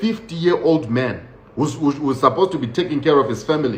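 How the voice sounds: A man's fairly high voice with a slightly mellow tone, lively intonation and a moderate pace, plus audible room echo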